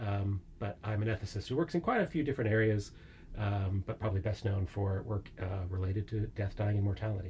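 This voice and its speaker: A man with an American accent speaks at a fairly quick pace in a dark, mellow, somewhat breathy voice, fairly low in pitch, with ordinary pitch variation and very even loudness. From United States. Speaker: philosophy professor. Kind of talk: interview podcast. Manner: many filler words (uh, um).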